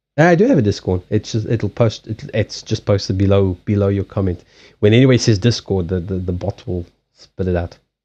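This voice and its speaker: Dry and close with no echo, a man's dark, mellow voice carries a slight South African accent, a fairly low pitch, ordinary pitch variation and a fairly quick pace. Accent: slight South African twang. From southern Africa, Mozambique and South Africa. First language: Portuguese. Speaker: live-stream card reader. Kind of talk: casual live-stream chat. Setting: live stream. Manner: halting, many repeated words.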